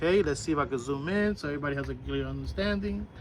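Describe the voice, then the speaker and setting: A man with an American accent talks at a fairly quick pace in an animated tone. Noticeable background noise is present. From New York. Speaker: school bus driving instructor. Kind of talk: tutorial.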